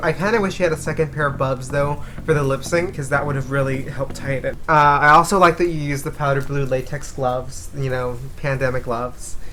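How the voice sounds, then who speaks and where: A woman with an American accent and a very deep, low pitch, talking at a fairly quick pace amid noticeable background noise and audible room echo. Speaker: drag competition host. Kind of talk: casual critique chat. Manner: animated.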